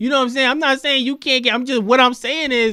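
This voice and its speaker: A man's raised, projected voice with a bright, sharp tone at a very fast pace, on a very clean recording with a silent background. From New York. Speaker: podcast host. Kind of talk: heated debate. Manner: animated.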